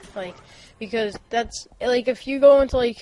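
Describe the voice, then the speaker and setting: A woman's intonation stays fairly even as she speaks at a moderate pace, with noticeable background noise behind her. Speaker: gaming commentator. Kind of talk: gameplay commentary. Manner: casual, hesitant with fillers.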